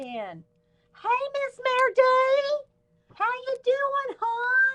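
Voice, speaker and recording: Putting on a character voice, a woman speaks very slowly in an extremely high, squeaky pitch. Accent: Southern US. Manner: warm, friendly.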